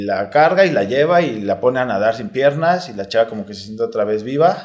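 A man speaks with a Mexico City accent. His pace is fairly quick. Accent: Mexico City Spanish (chilango). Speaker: retired footballer. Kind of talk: casual interview. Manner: casual slangy.

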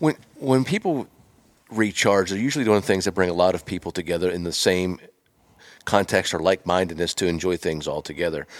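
Here a man talks at a fairly quick pace. His pitch is very deep and low, with ordinary variation. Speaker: podcast host. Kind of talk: casual interview. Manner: enthusiastic.

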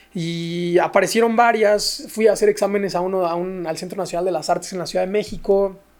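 A high-pitched man with a Mexican accent, fairly even intonation and a fairly quick pace, over noticeable background noise. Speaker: ballet dancer and social entrepreneur. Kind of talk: casual interview chat.

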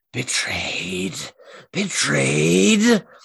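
A raspy, low-pitched put-on character voice. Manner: howling.

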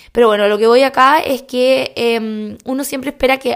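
A woman speaks in a Chilean accent. Her intonation stays fairly even. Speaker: podcast host and skincare blogger. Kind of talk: casual monologue.

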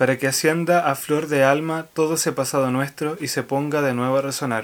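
Moderate pace and fairly even intonation in a Chilean accent. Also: man. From Chile, O'Higgins region (Rancagua area). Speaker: podcast co-host. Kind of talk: scripted narration; casual chat.

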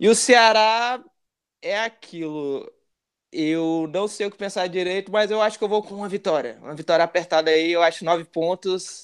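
A man with a high pitch speaks at a moderate pace over a quiet background. His loudness swings widely, though his pitch variation stays ordinary. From Brasília, Brazil (Gama). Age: 20s. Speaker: football fan, channel supporter. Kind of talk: casual chat.

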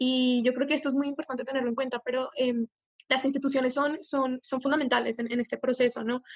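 Very fast and monotone, a woman talks at a high pitch with flat intonation. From Colombia. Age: young. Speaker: student climate activist. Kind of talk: panel discussion. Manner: halting, many repetitions.

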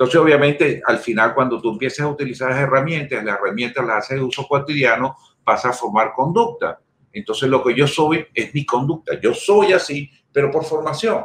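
Fairly quick speech in a plain, everyday voice, pitch shifting in an ordinary way. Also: man, fairly high pitch for a man. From Venezuela. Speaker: sales executive in data storage industry. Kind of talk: casual interview chat.

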